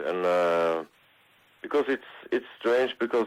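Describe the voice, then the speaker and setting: Very deep and low in pitch, a man's voice shows ordinary pitch variation. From Norway. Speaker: metal musician. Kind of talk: interview. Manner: halting, many fillers.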